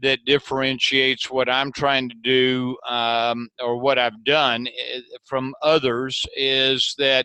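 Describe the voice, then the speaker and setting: Very slow, monotone delivery with a bright, sharp tone, hardly any pauses and a dry, close sound with no echo. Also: man, medium pitch for a man. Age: 60s. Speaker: entrepreneur and business author. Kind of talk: interview. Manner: halting, repeats words.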